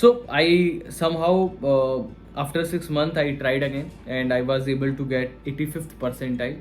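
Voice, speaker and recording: The speech moves at a fairly slow pace with fairly even intonation. Music plays in the background. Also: man. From India. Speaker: online course creator. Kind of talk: tutorial. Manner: halting, many fillers.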